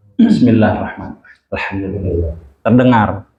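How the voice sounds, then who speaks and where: With audible room echo, a man speaks fairly quickly. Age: old. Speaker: Islamic preacher. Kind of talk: religious lecture with Q&A. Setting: mosque. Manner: loud.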